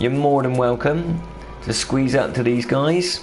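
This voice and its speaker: A man with a Bristolian accent speaks at a medium pitch with ordinary pitch variation. Music plays in the background, and the room echo is audible. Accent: mild Bristolian. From southwest England, Bristol. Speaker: gaming streamer. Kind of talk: live gameplay commentary. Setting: live stream. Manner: animated.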